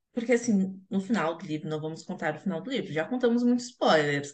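Somewhat breathy, a woman speaks at a very fast pace with ordinary pitch variation. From Rio Grande, Rio Grande do Sul, Brazil. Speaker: podcast host, journalist. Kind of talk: casual chat.

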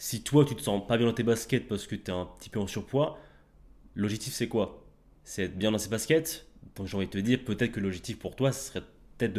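With a plain, everyday voice, a man talks at a fairly quick pace and fairly low pitch, with ordinary pitch variation and big swings in loudness. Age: 20s. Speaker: fitness coach. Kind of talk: podcast interview. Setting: in person, recorded while travelling.

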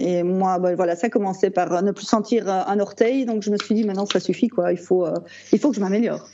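The speaker goes at a fairly quick pace with fairly even intonation. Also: woman, medium pitch for a woman. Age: 40s. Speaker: type 1 diabetic patient. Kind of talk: casual interview. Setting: video call. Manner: halting.

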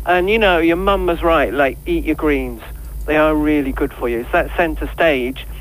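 Noticeable noise sits in the background. Over it, a man speaks at a moderate speed. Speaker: vegan chef. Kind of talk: phone interview.

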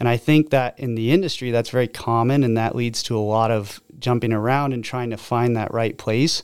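Speaking with an American accent, a man keeps a moderate pace, a medium pitch and fairly even intonation, with hardly any pauses. He has a plain, everyday voice. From Oregon (Albany). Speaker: door-to-door sales manager. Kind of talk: casual chat.

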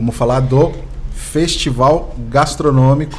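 Amid noticeable background noise and audible room echo, a man speaks at a fairly high pitch with fairly even intonation. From Brazil, São Vicente (São Paulo coast). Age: 40s. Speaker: municipal communications secretary and podcast host. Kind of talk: casual interview chat.

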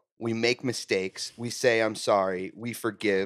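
At a fairly slow pace comes a normal speaking voice. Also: man. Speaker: guest. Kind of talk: casual chat.

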